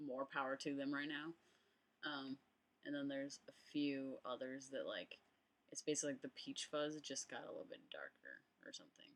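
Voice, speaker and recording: A man keeps a moderate pace but leaves long, frequent pauses. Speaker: transgender vlogger. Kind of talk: vlog update. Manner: casual, many fillers.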